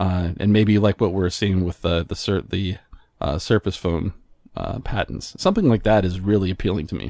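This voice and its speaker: With an American accent, a man speaks at a moderate pace in a very deep, low pitch, his tone dark and mellow and his intonation fairly even, in a very clean recording with a silent background. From US Southwest, northern New Mexico. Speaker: tech podcaster and graphic designer. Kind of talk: casual interview chat.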